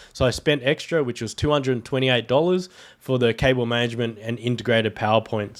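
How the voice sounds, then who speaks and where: A man with an Australian accent talks at a very fast pace in a medium pitch with ordinary pitch variation. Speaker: tech YouTuber. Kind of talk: tutorial; casual chat. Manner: casual.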